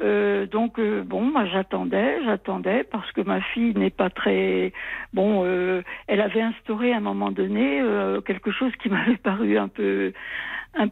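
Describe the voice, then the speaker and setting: A woman at a very slow pace, her loudness very even. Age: 80s+. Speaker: caller. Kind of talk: testimony.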